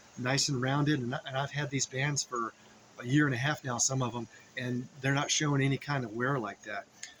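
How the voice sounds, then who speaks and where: Noticeable background noise sits behind a man talking at a fairly quick pace. His pitch is fairly high. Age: 60s. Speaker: fitness vlogger. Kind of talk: tutorial. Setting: outdoors. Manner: halting.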